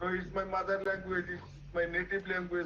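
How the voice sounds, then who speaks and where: A man speaks with a Bengali accent at a high pitch. There is noticeable background noise. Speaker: English learner. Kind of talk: class participation. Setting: live video stream. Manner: halting.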